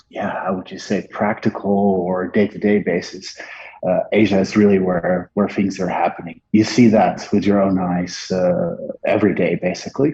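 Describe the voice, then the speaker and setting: With a Dutch accent, a man talks at a moderate pace, his fairly low voice keeping a fairly even intonation. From Netherlands. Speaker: marketing agency partner. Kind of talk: interview. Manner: halting, many filler words.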